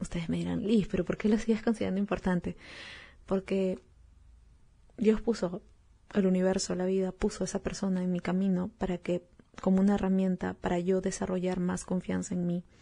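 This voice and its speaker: Her dark, mellow tone is somewhat breathy, and the intonation stays monotone and flat. The woman talks at a fairly quick pace with long, frequent pauses over a quiet background. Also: medium pitch for a woman. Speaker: podcast host. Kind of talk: solo podcast talk.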